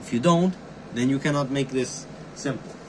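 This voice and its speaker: Noticeable background noise accompanies a voice with a non-native accent. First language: not English. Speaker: amateur YouTuber, cryptography hobbyist. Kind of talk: tutorial. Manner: casual, halting with fillers.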